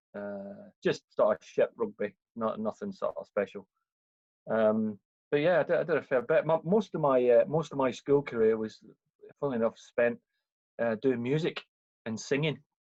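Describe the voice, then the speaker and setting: With a Scottish accent, a man speaks at a moderate pace in a fairly high voice, his pitch swinging very widely between long, frequent pauses, the sound dry and close with no echo. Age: 40s. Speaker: firefighter, ex-Navy. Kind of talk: casual podcast interview. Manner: hesitant, many fillers.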